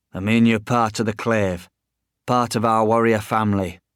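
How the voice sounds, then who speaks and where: Using a gruff, put-on character voice at medium pitch, a man speaks at a moderate pace in a very clean recording with a silent background. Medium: read story.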